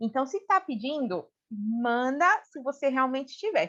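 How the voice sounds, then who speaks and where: A woman with a Brazilian accent speaks at a high pitch with very wide pitch swings. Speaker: human resources specialist. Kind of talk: casual interview chat.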